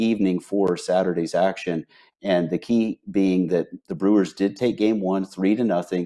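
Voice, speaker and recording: A man talks at a fairly low pitch in a dark, mellow tone with ordinary pitch variation. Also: quiet background. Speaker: sports betting analyst, remote guest. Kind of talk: commentary. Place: home room. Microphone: earbuds.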